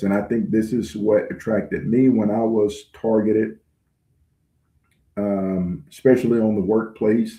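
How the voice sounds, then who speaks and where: With a Southern US accent, a man speaks at a very slow pace, his medium pitch showing ordinary variation. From US South, rural. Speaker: online channel host, self-described targeted individual. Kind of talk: livestream address. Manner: halting, frequent fillers.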